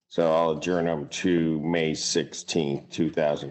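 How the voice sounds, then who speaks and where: This man's pitch is very deep and low, his intonation monotone and flat. He speaks at a fairly slow pace. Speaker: judge. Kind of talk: courtroom proceedings.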